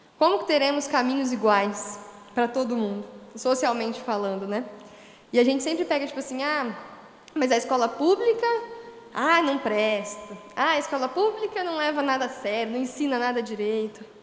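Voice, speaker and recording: A woman with a high pitch and lively intonation at a moderate pace, amid noticeable background noise and audible room echo. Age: 20s. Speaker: history teacher. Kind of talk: panel discussion. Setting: livestream on social media.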